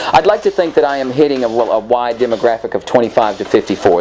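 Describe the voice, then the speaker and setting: Noticeable background noise fills the clip. Through it, a man talks at a very fast pace. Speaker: DJ and music producer. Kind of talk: interview. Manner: animated.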